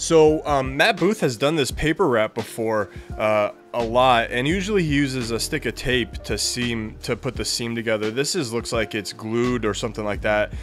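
Moderate pace from a man, clear music in the background. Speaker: cigar channel host. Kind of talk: product overview chat. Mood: relaxed, enthusiastic. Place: home room.

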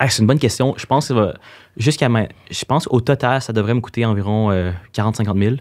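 A man talks at a fairly quick pace with a Quebec accent and a medium pitch. His pitch varies in an ordinary way against a quiet background. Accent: Québécois French. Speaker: social media influencer. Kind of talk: interview. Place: studio. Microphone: studio mic.

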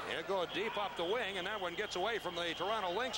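A man speaks in a raised, projected voice at a very fast pace. Background noise is noticeable. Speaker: play-by-play commentator. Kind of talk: live sports commentary. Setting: stadium broadcast. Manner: fast, clipped play-by-play delivery.

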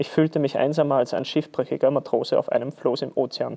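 Against a quiet background, a man with an Austrian accent speaks at a fairly quick pace. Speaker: football player. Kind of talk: read story. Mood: calm festive storytelling. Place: studio.

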